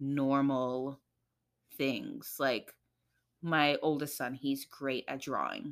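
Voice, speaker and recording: In a New York accent, a woman with a very deep, low pitch and a bright, sharp tone speaks very slowly and with fairly even intonation on a very clean recording with a silent background. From New York, the Bronx, Trinidadian family. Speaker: guest, mother. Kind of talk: casual chat.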